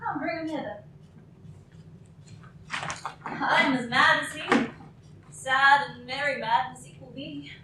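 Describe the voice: In a put-on character voice, a woman speaks slowly with a high, bright, sharp tone and long, frequent pauses, and strong room echo surrounds her. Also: fairly even intonation.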